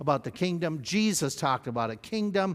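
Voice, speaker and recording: A very clean recording of a man against a silent background. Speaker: pastor. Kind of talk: Bible study lecture. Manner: fast.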